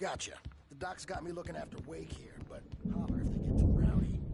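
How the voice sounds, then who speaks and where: A man does a put-on character voice, high-pitched and raspy, at a fairly quick pace. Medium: video game.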